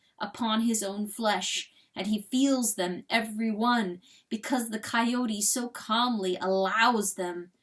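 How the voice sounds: What you hear is a natural reading voice.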